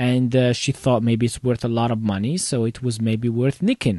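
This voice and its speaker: A man with a non-native accent, medium-pitched, at a moderate pace, in a dry, close sound with no echo against a quiet background. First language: not English. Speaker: computer repair shop owner, tech video host. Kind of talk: casual live commentary. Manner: halting, many fillers.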